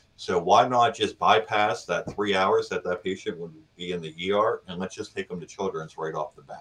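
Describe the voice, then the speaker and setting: The pace is moderate, with hardly any pauses. Loudness shows big swings. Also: man. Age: 40s. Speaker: paramedic. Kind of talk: interview podcast.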